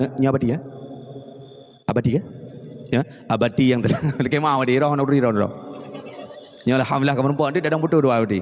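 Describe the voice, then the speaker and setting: At a very fast pace broken by long, frequent pauses, a man with a medium pitch speaks at very even loudness over noticeable background noise. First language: Acehnese (speaking Indonesian). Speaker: Islamic preacher. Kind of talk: sermon. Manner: animated.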